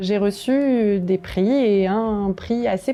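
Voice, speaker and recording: Ordinary pitch variation runs through a woman's medium-pitched voice. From France, Bresse (Ain). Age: 30s. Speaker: neuroscience researcher. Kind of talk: prepared video testimony. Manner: hesitant, frequent fillers.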